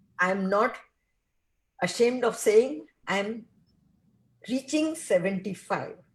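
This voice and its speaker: Speaking very slowly with long, frequent pauses, a woman uses a fairly high, somewhat breathy voice and lively intonation. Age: 70s. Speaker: film actress. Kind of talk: casual chat.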